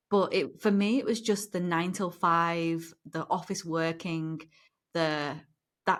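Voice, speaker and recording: At a fairly slow pace, a woman with a fairly low pitch and ordinary pitch variation speaks in a very clean recording with a silent background. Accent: British. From northern England, near Liverpool. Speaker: former lawyer. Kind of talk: interview.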